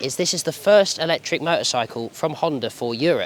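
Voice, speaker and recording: At a fairly quick pace, a man speaks in a British accent. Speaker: motorcycle journalist. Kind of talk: product review. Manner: hesitant, many fillers; casual.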